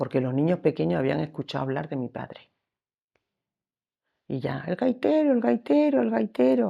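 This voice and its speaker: A woman with a very deep, low pitch and a dark, mellow tone talks at a moderate pace. Her intonation is lively, broken by long, frequent pauses. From Extremadura, Spain (Sierra de Gata, Cáceres). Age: 70s. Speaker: lace-making artisan. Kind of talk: life story interview. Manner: halting.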